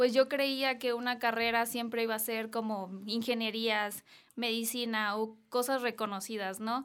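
At a fairly slow pace, a woman speaks with fairly high pitch and fairly even intonation. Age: 20s. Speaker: social media influencer and model. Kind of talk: interview. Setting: studio.

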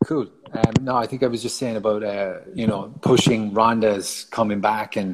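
Speaking with a Cork accent, a man keeps a moderate pace and fairly even intonation in a fairly low pitch. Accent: Cork Irish. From Ireland, Cork. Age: 30s. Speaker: martial artist. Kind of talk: casual chat.

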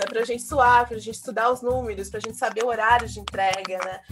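This woman's high-pitched voice comes through noticeable background noise. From Brazil. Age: 40s. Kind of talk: interview conversation.

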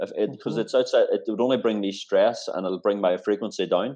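A man talks at a very fast pace. He speaks in a Northern Irish accent. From Northern Ireland. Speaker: talent executive. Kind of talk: interview.

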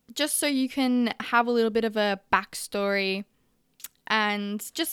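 Recorded very cleanly against a silent background, a woman with a fairly high pitch talks at a moderate pace with ordinary pitch variation. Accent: Australian. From Australia. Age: young. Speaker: podcast host, barista. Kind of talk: personal monologue podcast. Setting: home recording at a vanity.

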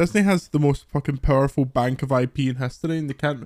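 This man has a normal speaking voice, fairly high in pitch, delivered at a fairly quick pace with a dry, close sound and no echo. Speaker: podcast co-host. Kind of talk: casual banter podcast chat. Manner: jokey, swearing.

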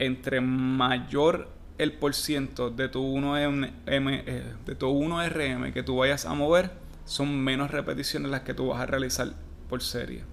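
Heard with audible room echo, a man in a Puerto Rican accent speaks very slowly at a medium pitch with ordinary pitch variation. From Puerto Rico. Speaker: fitness coach. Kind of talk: casual solo podcast.

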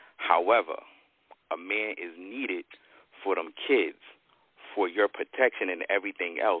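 A man speaks at a moderate pace, leaving long, frequent pauses. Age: 40s. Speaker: guest panelist. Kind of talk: casual debate.

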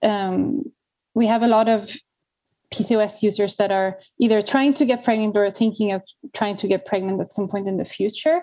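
Her tone dark and mellow, a woman speaks at a fairly high pitch and moderate pace with ordinary pitch variation. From Sweden. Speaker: particle physicist and tech company CEO. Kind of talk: interview.

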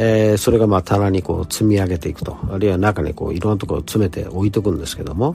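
Over noticeable background noise, a man with a fairly low voice talks at a very fast pace with ordinary pitch variation. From Osaka, Kansai. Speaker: English teacher. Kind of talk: solo podcast talk. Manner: polite, formal; many fillers.

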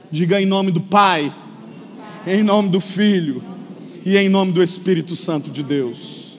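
A high-pitched male voice at a fairly slow pace, broken by long, frequent pauses, against noticeable background noise. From Brazil. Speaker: pastor. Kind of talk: sermon. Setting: church. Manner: animated.

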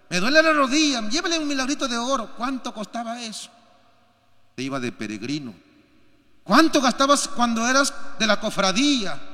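A man's extremely high, raised and projected voice at a moderate pace, with long, frequent pauses, big swings in loudness and audible room echo. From Peru. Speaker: pastor. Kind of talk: sermon. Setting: church.

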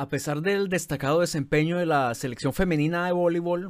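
An unremarkable speaking voice moves at a fairly quick pace with ordinary pitch variation. The recording is very clean, with a silent background. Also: man. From Colombia. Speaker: podcast host, journalist. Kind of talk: scripted narration.

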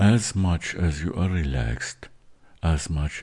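At a very slow pace, a man with a very deep, low pitch speaks in a calm, soothing tone, somewhat breathy, with ordinary pitch variation. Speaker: meditation host. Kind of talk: guided meditation. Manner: slow, calm, soothing, hushed instructions with long pauses; halting, with filler words.

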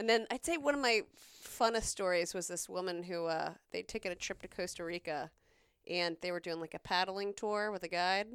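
A woman with an American accent talks fairly quickly at a medium pitch with ordinary pitch variation, a plain, everyday voice. The recording is very clean, with a silent background. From South Carolina. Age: 40s. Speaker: nurse. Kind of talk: casual chat.

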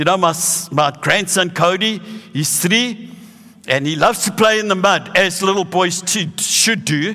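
The speaker reads aloud in a natural voice with ordinary pitch variation.

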